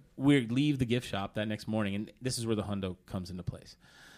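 A man with an American accent at a moderate pace, fairly low in pitch, with ordinary pitch variation. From Oklahoma. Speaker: DJ. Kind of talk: casual chat. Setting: studio.

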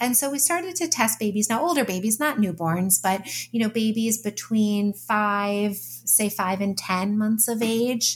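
The speech comes at a fairly slow pace. It is somewhat breathy and has ordinary pitch variation. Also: woman. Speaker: psychology professor and author. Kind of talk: interview.

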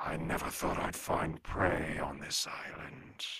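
A raspy man puts on a character voice with a menacing tone, a very deep, low pitch and a fairly slow pace.

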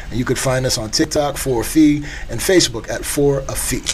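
A man's voice over noticeable background noise with audible room echo. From US Virgin Islands, St. Thomas. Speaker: TV show creator. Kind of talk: casual chat.

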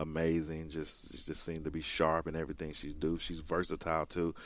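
A man speaks with a Southern US accent. His pitch is very deep and low. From rural Mississippi. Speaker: college soccer coach. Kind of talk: radio interview. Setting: studio.

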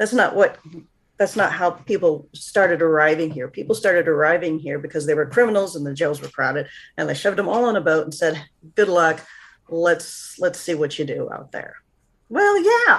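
A woman's unremarkable speaking voice, fairly low in pitch, with an American accent, ordinary pitch variation, a moderate pace and big swings in loudness. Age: 50s. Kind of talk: interview.

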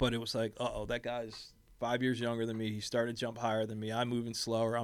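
Flat and monotone, a man rattles off words at a very fast pace in a Philadelphia accent. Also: medium pitch for a man. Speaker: college volleyball head coach, podcast guest. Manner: casual, conversational, frequent "you know" fillers.

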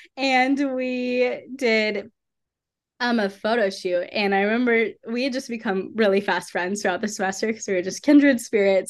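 A woman with an American accent speaks in a plain, everyday voice at a fairly high pitch. Her pace is moderate, her pitch variation ordinary, and the background quiet. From US South (Atlanta, Georgia). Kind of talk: testimony. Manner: casual, filler-heavy.

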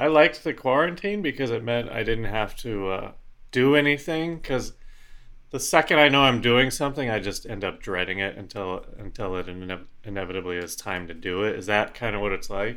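An ordinary speaking voice talks in an American accent. The pace is fairly quick and the intonation lively. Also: man, medium pitch for a man. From Colorado. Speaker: comedy podcast co-host. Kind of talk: casual chat.

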